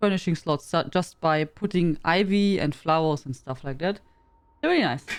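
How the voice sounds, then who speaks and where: The pace is moderate. This woman speaks with a German accent. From Germany. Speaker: game streamer. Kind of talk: casual live-stream chat. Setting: live stream.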